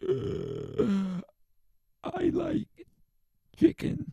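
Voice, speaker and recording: A man's put-on character voice at high pitch. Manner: stilted, exaggerated tone.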